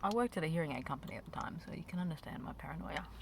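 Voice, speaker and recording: A woman speaks at a very fast pace. She has an Australian accent. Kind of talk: ASMR chit chat while eating candy. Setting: parked car near a road. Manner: casual, rambling.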